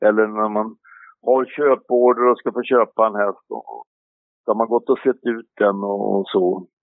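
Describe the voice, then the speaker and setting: A man's normal speaking voice, medium in pitch, with fairly even intonation and a fairly slow pace. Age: 60s. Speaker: harness racing trainer. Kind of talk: interview.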